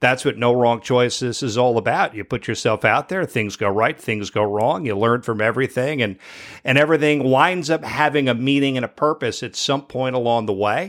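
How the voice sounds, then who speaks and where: A plain, everyday voice, a man at a medium pitch with ordinary pitch variation, a moderate pace and hardly any pauses. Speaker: podcast host. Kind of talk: podcast intro and outro.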